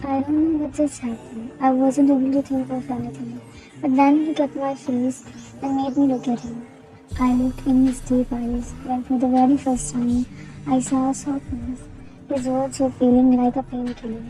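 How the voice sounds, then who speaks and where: A woman's high-pitched, monotone, flat voice at a moderate pace, with music in the background. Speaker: fan fiction voice cover reader. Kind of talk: read fan fiction story with character dialogue. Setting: noisy room. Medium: read story.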